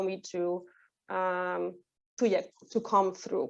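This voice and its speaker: In a Polish accent, a woman speaks at a fairly slow pace against a quiet background. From Poland. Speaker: training manager. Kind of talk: webinar talk. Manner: halting, many fillers.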